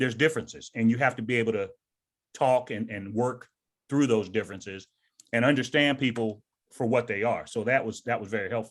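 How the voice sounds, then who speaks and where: Talking at a fairly quick pace, a man with an American accent has a normal speaking voice, medium in pitch with fairly even intonation. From US South. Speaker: retired army sergeant major and author. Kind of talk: interview.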